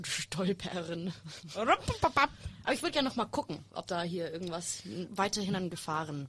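Bright and sharp in tone, a woman's voice moves at a fairly slow pace with lively intonation. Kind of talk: casual chat.

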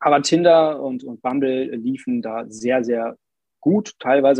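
A man speaks at a moderate pace in an ordinary speaking voice. His pitch is medium, with ordinary pitch variation. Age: 20s. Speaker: former coaching client. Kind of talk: casual interview chat.

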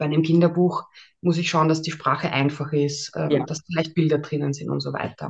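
A woman talks at a fairly quick pace. Her very deep, low pitch holds a monotone, flat intonation. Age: 30s. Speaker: ghostwriter and mental trainer. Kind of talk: interview.

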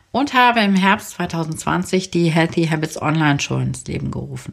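Fairly slow speech from a woman, pitched fairly low, with ordinary pitch variation. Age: 40s. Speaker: podcast host and virtual assistant. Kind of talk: podcast introduction episode. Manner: warm, enthusiastic.

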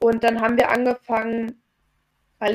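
A normal speaking voice from a woman, moderate in pace and fairly high in pitch. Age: 30s. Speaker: chronic fatigue coach. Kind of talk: interview. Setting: video call. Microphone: poorer Zoom audio.

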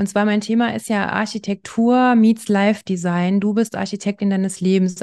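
Over a quiet background, a woman with a medium pitch and a dark, mellow tone speaks at a moderate pace with fairly even intonation. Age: 40s. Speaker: architect. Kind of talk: interview.

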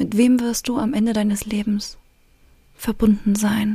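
A woman speaks very slowly at a fairly high pitch, with monotone, flat intonation. Her voice is dark, mellow, somewhat breathy, and calm and soothing in tone. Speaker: relationship coach and podcast host. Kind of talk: guided meditation. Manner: slow, calm, soothing, with long pauses; gentle, intimate, directly addressing the listener.

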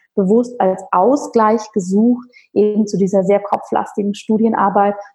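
Her tone is dark and mellow, and a little breathy. The woman's intonation stays monotone and flat. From rural Bavaria, Germany. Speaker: holistic physician and yoga teacher. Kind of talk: interview conversation.

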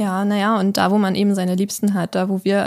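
In a very clean recording with a silent background, a woman at medium pitch speaks at a moderate pace in a dark, mellow tone. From Kiel, northern Germany. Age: 20s. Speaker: homeowner renovating a house. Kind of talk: casual chat. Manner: hesitant with many fillers.

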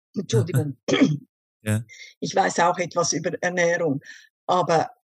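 Somewhat breathy, a woman speaks at a fairly low pitch and a fairly slow pace. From Switzerland. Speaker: vocational school teacher, diabetes client. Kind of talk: interview testimony.

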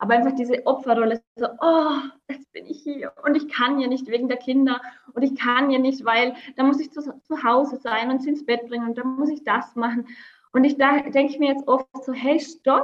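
With monotone, flat intonation, a woman talks moderately fast in a high voice. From Austria, Vorarlberg near Swiss border. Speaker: entrepreneur and mother. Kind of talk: interview.

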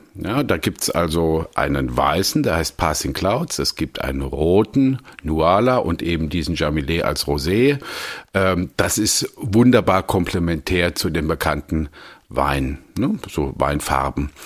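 A man speaks at a very slow pace with vocal fry. His very deep, low pitch carries lively intonation. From Germany, Palatinate (Landau). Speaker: wine merchant and sommelier. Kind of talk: casual interview conversation.

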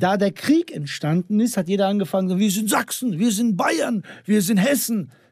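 This man has a high-pitched voice. He speaks at a moderate pace. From Bosnia / Sandžak region (Balkan background). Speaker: comedian / social media creator. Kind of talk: casual chat.

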